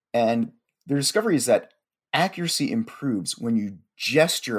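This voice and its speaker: A plain, everyday voice from a man at medium pitch, moderate pace and lively intonation, on a very clean recording with a silent background. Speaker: podcast host. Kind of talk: casual chat.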